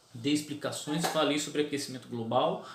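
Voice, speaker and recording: With audible room echo and noticeable background noise around him, a man with a fairly high voice talks at a moderate pace. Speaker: preacher and theology video host. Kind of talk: casual talk to camera. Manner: repetitive filler stammers.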